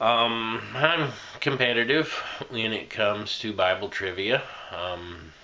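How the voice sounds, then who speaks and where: Audible room echo surrounds a man with an American accent who talks at a very slow pace in a bright, sharp tone. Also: medium pitch for a man, ordinary pitch variation. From Indiana. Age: 40s. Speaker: associate pastor and quiz show applicant. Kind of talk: application video monologue. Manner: halting, many fillers.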